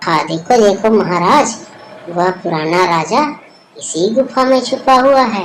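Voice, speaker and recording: This is a cartoonish character voice at a fairly high pitch. It moves at a fairly slow pace. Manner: polite, deferential.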